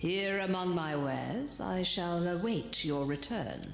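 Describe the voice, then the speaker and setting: In a put-on character voice at a middle pitch, the speaker goes at a fairly slow pace, with slight echo and clear background noise. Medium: video game. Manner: sensual, enticing.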